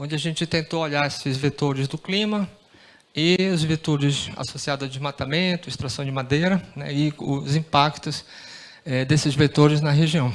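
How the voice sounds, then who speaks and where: A man talks with fairly even intonation and a fairly high pitch, keeping a moderate speed. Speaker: researcher. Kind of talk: conference presentation. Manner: halting, many fillers.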